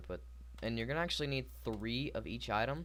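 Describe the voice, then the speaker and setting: There is audible room echo as a man speaks fairly quickly. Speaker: gaming youtuber. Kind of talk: tutorial. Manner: halting, stuttering.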